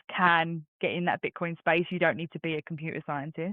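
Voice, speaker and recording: A woman with an English accent, fairly low-pitched, at a fairly quick pace. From London, England. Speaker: bitcoin community organizer. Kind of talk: interview.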